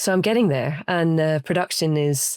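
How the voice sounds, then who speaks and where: On a very clean recording with a silent background and a dry, close sound with no echo, a woman with a Scottish accent speaks at a moderate pace in a very deep, low voice. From Scotland. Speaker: studio potter. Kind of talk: interview answer.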